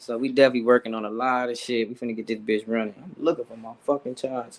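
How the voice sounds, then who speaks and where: Speaking at a very fast pace, a man with a medium pitch keeps his intonation fairly even while his loudness swings widely. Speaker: rapper. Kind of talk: casual interview. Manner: fast-talking.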